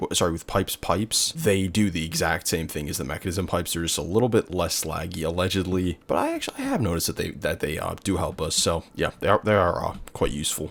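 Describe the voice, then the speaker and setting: A man talks at a very fast pace with hardly any pauses. His pitch is very deep and low, and his intonation is fairly even. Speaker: gaming youtuber. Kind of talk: gameplay commentary narration. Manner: halting; casual.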